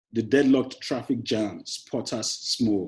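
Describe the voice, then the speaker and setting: Somewhat breathy with a dark, mellow tone, a man speaks fairly slowly with lively intonation. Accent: Nigerian. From Nigeria, Lagos. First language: Yoruba. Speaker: poet. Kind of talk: poetry reading; interview. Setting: classroom.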